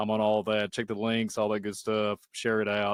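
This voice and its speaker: Over a dry, close sound with no echo, a man talks very fast at a fairly low pitch. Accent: Southern US. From Kentucky. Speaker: YouTube channel host, podcast guest. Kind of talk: casual chat.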